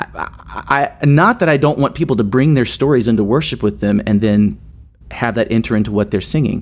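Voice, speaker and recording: Speaking at a fairly quick pace, a man with an American accent has medium pitch, vocal fry, lively intonation, and very even loudness. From US South, Nashville, Tennessee. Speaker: worship leader and songwriter. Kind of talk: interview conversation. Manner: halting.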